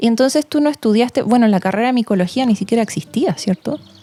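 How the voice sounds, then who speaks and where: A woman talks at a very fast pace, her pitch fairly high and her tone dark and mellow. The sound is dry and close, with no echo. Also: very even loudness. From Chile. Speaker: podcast host. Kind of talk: interview.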